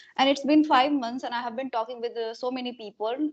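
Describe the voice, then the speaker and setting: A woman speaks with an Indian accent and fairly even intonation. The background is quiet. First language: Hindi. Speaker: homemaker and YouTuber. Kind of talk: casual conversation practice.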